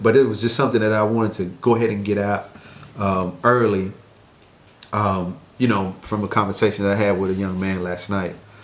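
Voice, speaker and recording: Noticeable background noise and audible room echo surround a man talking fairly quickly, his pitch variation ordinary. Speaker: mentor and life coach vlogger. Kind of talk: casual vlog monologue. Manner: quiet, talking low; hesitant, many fillers.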